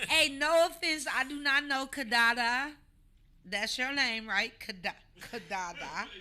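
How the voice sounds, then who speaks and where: A woman's raised, projected voice, high-pitched with a bright, sharp tone, lively intonation and a fairly slow pace. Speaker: comedian talk show host. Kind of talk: casual chat. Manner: animated.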